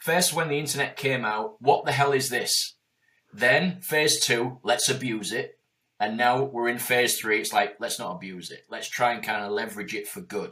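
A bright, sharp tone with lively intonation and big swings in loudness comes at a moderate pace on a very clean recording with a silent background. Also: man, medium pitch for a man. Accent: Yorkshire. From Yorkshire. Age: 40s. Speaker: entrepreneur. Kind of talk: interview. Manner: animated.

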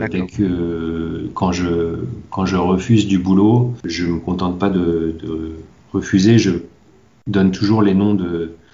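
Over audible room echo, a man with a very deep, low pitch speaks very slowly with fairly even intonation. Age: 40s. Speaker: manga translator. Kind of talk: interview. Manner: halting.

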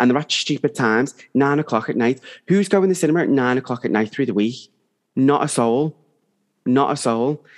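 A man with an unremarkable speaking voice at a medium pitch, fairly quick in pace and very even in loudness, over a quiet background. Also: ordinary pitch variation. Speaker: podcast co-host. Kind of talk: casual chat.

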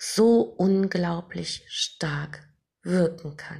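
Vocal fry with ordinary pitch variation. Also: woman. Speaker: meditation guide podcaster. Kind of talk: guided meditation. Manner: slow, soft, soothing; calm, gentle, hypnotic pacing with long pauses.

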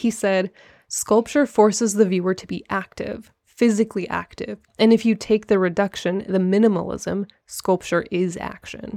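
At a moderate pace and medium pitch, a woman talks in an ordinary speaking voice with fairly even intonation, in a very clean recording with a silent background and a dry, close sound with no echo. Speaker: podcast host. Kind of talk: casual chat.

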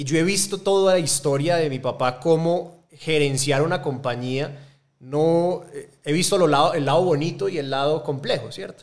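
The speaker has an Antioquian accent and a moderate pace. Pitch variation is ordinary. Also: man, fairly high pitch for a man. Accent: Colombian paisa Spanish. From Colombia, Medellín. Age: 30s. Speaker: angel investor network co-founder. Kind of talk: interview. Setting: studio.

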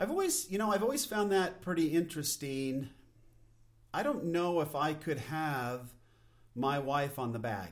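This man has an unremarkable speaking voice, pitched fairly high. He talks at a moderate pace with lively intonation. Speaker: podcast host. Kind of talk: solo podcast monologue. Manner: casual, unpolished, self-deprecating.

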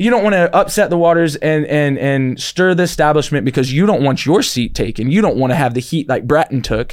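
With an American accent and a plain, everyday voice, a man speaks at a fairly quick pace, his pitch fairly high and his intonation lively. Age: 30s. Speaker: podcast host. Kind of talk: casual chat. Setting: studio.

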